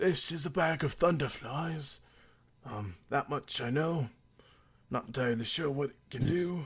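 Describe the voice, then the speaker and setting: Using a raspy, put-on character voice, a man speaks at a fairly high pitch and moderate pace with ordinary pitch variation and long, frequent pauses. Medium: actual play. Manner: casual, offhand.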